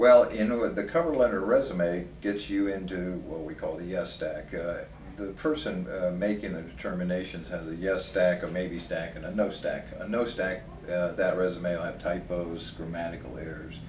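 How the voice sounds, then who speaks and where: A man speaks at a moderate pace with a very deep, low pitch and ordinary pitch variation. Light background noise and audible room echo are present. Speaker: interviewee. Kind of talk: interview answer. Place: office.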